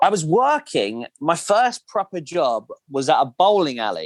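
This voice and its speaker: With a southern English accent, a man talks at a moderate pace. The sound is dry and close, with no echo. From southern England, Kent. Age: 20s. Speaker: podcast guest. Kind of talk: casual chat.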